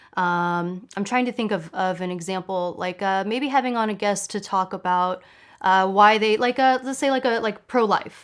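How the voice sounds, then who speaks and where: A woman speaks at a medium pitch with ordinary pitch variation and a moderate pace, in a normal speaking voice, on a very clean recording with a silent background. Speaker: online show host. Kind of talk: interview question.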